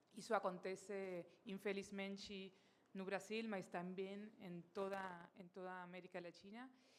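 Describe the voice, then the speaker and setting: A woman of medium pitch speaks with a Spanish accent at a fairly slow pace, her intonation monotone and flat while her loudness swings widely. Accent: Spanish-accented Portuguese, non-native. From Argentina. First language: Spanish (speaking Portuguese). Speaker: company director and speaker. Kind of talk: conference talk. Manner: halting, many fillers.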